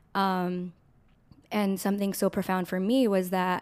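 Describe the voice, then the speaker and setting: An American accent is heard in a very clean recording with a silent background. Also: woman. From Southern California. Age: 20s. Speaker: church missionary. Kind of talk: casual interview chat.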